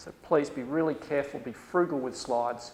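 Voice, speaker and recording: A man with an Australian accent. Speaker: university lecturer. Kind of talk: lecture. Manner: animated.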